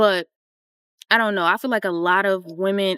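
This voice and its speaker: A woman with an ordinary speaking voice talks at a moderate pace and medium pitch. The sound is dry and close with no echo, in a very clean recording with a silent background. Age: 20s. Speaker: YouTuber. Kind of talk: casual chat. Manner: casual, chatty.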